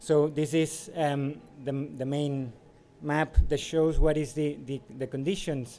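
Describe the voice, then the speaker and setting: Over light background noise, a man speaks at a fairly slow pace with a dark, mellow tone, a fairly high pitch, and monotone, flat intonation. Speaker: city mobility advisor. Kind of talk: conference presentation. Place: hall.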